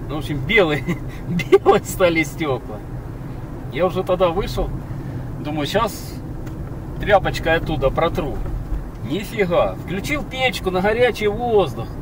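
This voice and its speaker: A man at a fairly slow pace with long, frequent pauses, dry sound without echo, and noticeable background noise. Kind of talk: casual driving commentary. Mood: relaxed, amused. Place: car. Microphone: camera far.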